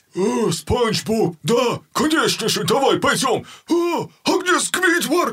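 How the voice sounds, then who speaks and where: Very wide pitch swings mark a put-on character voice delivered at a fairly slow pace. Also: man, extremely high pitch for a man. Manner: slow, dim-witted, friendly.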